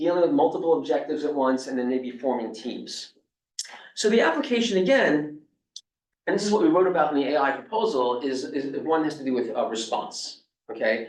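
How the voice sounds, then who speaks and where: With a New York accent, a man talks at a fairly quick pace in a fairly high pitch and lively intonation, with audible room echo around him. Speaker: robotics professor. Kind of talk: lecture.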